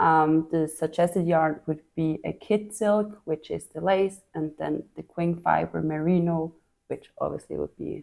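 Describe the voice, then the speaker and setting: Speaking fairly slowly with a Swiss accent, a woman has a fairly low pitch, a dark, mellow tone and fairly even intonation. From Switzerland. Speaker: knitting podcast host. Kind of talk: casual chat.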